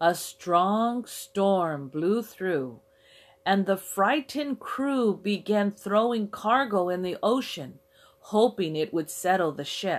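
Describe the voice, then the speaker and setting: With lively intonation, a woman speaks at a very slow pace in a very clean recording with a silent background. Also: medium pitch for a woman. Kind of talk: children's story narration, read aloud in a simple, clear storybook style. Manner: clear, simple, measured delivery.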